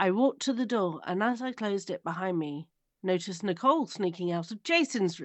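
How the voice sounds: Against a quiet background, the speaker uses a natural reading voice. The intonation is lively.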